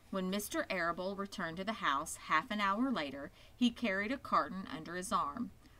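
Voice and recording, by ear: The clip is reading aloud in a natural voice.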